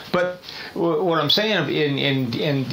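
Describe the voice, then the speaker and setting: Audible room echo surrounds this man's voice. Noticeable background noise is present too. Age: 60s. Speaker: podcast panelist. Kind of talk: casual chat. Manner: animated.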